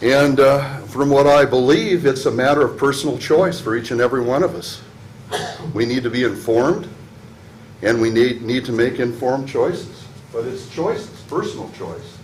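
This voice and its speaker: Noticeable background noise and audible room echo surround a man whose medium pitch shows ordinary pitch variation. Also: moderate pace. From Pacific Northwest US, Washington state. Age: 60s. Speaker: public commenter, military veteran. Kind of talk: public comment at council meeting. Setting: city council meeting. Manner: halting.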